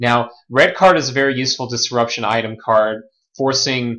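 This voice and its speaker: A man with an unremarkable speaking voice talks at a moderate pace. His pitch sits in the medium range. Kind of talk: game commentary audition.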